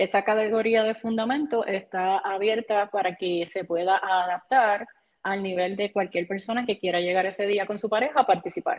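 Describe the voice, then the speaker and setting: Fairly even intonation marks a woman's medium-pitched speech at a moderate pace, delivered in a Puerto Rican accent. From Puerto Rico, Barranquitas. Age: 30s. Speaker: CrossFit athlete and coach. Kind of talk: casual interview.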